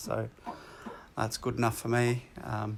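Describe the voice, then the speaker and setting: A man with an Australian accent speaks at a medium pitch and moderate pace, his intonation fairly even. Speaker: woodworking YouTuber. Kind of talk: tutorial. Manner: halting, many fillers; casual.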